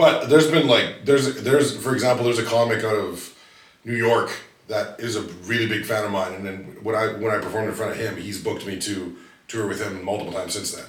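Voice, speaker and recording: Amid noticeable background noise and audible room echo, a man speaks at a very fast pace in a medium pitch, with ordinary pitch variation and big swings in loudness. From Vancouver, Canada. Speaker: stand-up comedian. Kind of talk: casual chat.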